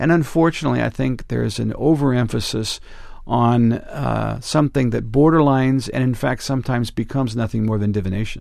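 Speaking with an American accent, a man has an ordinary speaking voice at medium pitch. His pace is fairly quick, and his pitch varies in an ordinary way. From Northern California. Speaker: ministry leader. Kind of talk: interview. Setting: studio.

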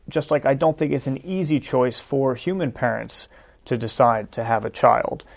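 At a moderate pace, a man with a New Jersey accent talks in a fairly high pitch with ordinary pitch variation. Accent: New Jersey American. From US Northeast, New Jersey. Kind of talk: debate discussion.

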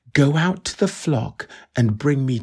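Somewhat breathy, a man talks at a fairly slow pace and medium pitch with ordinary pitch variation on a very clean recording with a silent background. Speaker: scripture reader. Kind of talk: reading aloud.

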